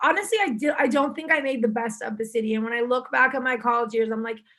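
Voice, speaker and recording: Music in the background accompanies a woman's high-pitched voice with ordinary pitch variation. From Istanbul, Turkey. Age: 20s. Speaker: self-image coach. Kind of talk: casual interview chat. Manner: casual with many fillers.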